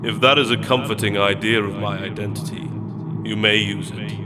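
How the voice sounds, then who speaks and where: Using a put-on character voice, a man rumbles and booms at a fairly quick pace over loud background noise. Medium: read story. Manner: grand, faintly mocking.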